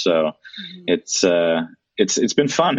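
The speaker is a man with a Dutch accent. He keeps a moderate pace. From Netherlands. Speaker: amateur triathlete and tech worker. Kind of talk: casual interview. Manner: hesitant, many fillers and repetitions.

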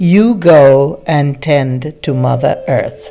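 A resonant, put-on character voice moves at a moderate pace while clear music plays in the background. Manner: calm, authoritative.

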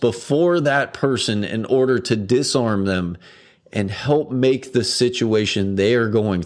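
This is a plain reading aloud.

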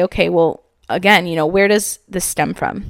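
The woman speaks at a medium pitch and moderate pace in an animated tone with ordinary pitch variation. The recording is very clean, with a silent background. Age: 20s. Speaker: podcast host and entrepreneur. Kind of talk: casual motivational monologue.

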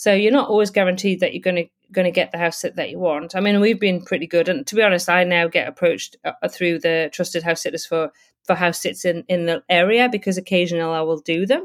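A woman at a medium pitch with a British accent and ordinary pitch variation, very fast in pace, dry and close with no echo, on a very clean recording with a silent background. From UK. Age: 50s. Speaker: travel blogger and house sitter. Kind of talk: casual interview. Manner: hesitant with fillers and repetitions.

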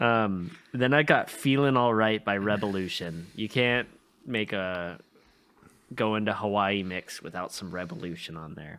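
A man speaks at a fairly slow pace in a normal speaking voice, his pitch fairly low. His intonation is lively, and his loudness swings widely. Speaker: podcast host. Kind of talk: casual chat.

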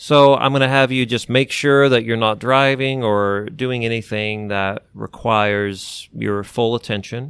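With a plain, everyday voice, a man speaks at a medium pitch and a fairly slow pace, with hardly any pauses. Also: fairly even intonation. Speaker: clinical hypnotherapist and co-host. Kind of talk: guided relaxation exercise. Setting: podcast. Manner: slow, calm, soothing, instructing the listener step by step.

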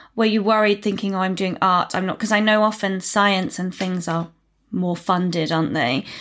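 Recorded very cleanly against a silent background, a woman speaks at medium pitch and a moderate pace with ordinary pitch variation. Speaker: podcast host. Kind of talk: podcast interview. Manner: enthusiastic.

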